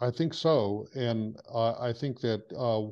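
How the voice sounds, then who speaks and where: Very slow speech from a man, quiet background behind him. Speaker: book publisher. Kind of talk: interview questions. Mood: warm, respectful, hesitant. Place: home room. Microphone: video call.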